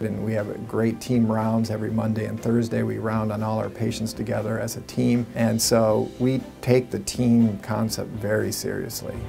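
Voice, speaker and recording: Over clear music in the background, a man talks at a moderate pace in a monotone, flat intonation with hardly any pauses. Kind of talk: interview answer. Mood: calm, earnest. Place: office.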